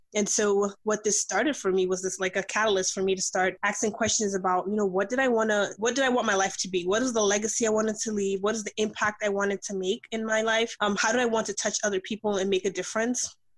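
With an American accent, a woman rattles on at a very fast pace in a medium pitch, monotone and flat, with hardly any pauses and noticeable background noise. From US, New York. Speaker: life and business coach. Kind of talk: interview.

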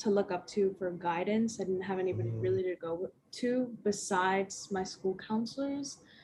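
Speaking at a fairly slow pace with an American accent, a woman has a medium-pitched, somewhat breathy voice with ordinary pitch variation. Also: hardly any pauses. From Las Vegas, US. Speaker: college student. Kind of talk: casual chat.

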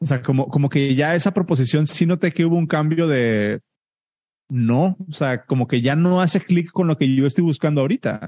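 At a moderate pace, a man speaks with a dark, mellow tone and fairly high pitch, ordinary pitch variation, and very even loudness, in a dry, close sound with no echo. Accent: Mexican. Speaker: software engineer and podcast host. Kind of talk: group Q&A session.

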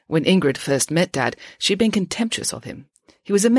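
It is a natural reading voice with lively intonation. The background is quiet.

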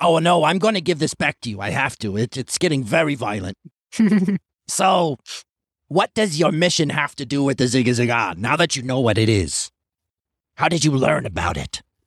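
This is a put-on character voice in a North Jersey accent. It moves at a moderate pace with long, frequent pauses. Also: man, medium pitch for a man. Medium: actual play. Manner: exasperated, fussy.

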